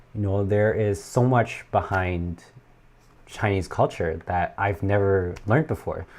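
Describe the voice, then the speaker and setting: Here is a man with a normal speaking voice and a fairly low pitch. He talks at a fairly slow pace with ordinary pitch variation against a quiet background. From Canada (moved from China as a child). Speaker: YouTuber explaining Chinese dramas and culture. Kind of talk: livestream chat reading viewer comments. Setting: livestream from home. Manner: casual, many fillers.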